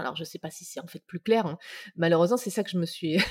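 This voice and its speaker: The voice belongs to a woman with ordinary pitch variation. The sound is dry and close, with no echo. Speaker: UX consultant and author. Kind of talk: interview. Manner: halting.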